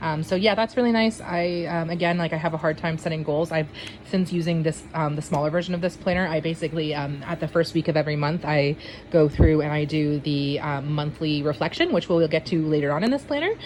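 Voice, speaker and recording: Over noticeable background noise, a woman with a very deep, low pitch talks at a very fast pace with fairly even intonation. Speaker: planner vlogger. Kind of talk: casual walkthrough. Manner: hesitant, many fillers.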